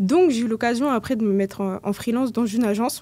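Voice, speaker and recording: With a dark, mellow tone, a woman speaks at a fairly high pitch with fairly even intonation. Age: 20s. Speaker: community manager and LinkedIn coach; podcast guest. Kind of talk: casual interview. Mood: relaxed, conversational. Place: studio. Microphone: studio mic.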